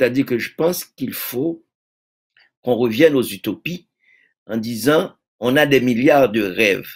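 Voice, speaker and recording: A man speaks at a fairly slow pace with ordinary pitch variation. Long, frequent pauses break up his speech against a quiet background. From Haiti. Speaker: poet and publisher; poet. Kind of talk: interview. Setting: video call. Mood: earnest, reflective. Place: home room.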